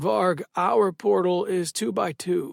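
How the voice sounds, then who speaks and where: In a put-on character voice, a man with a high, raspy pitch talks at a fairly slow pace with lively intonation, in a very clean recording with a silent background and a dry, close sound with no echo. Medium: read story.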